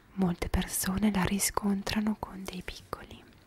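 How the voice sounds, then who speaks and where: Whispering, a woman talks at a fairly slow pace. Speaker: ASMR creator. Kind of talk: soft-spoken ASMR talk. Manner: soft, intimate close-mic voice. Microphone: handheld.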